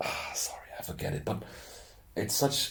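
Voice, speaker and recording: Somewhat breathy, a man speaks at a moderate pace in a strong German accent. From Austria. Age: 30s. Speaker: youtuber. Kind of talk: casual monologue. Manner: halting. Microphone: poor audio quality.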